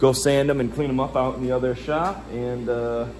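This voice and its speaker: The speech goes at a fairly slow pace with fairly even intonation over noticeable background noise. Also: man. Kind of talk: casual vlog chat. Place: garage. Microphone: phone near.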